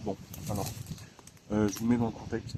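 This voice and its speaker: A man is speaking. His pitch is medium. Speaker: urbex video creator. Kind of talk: casual vlog narration. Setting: outdoors, trespassing urbex site. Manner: hesitant, many fillers. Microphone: quiet, turn volume up.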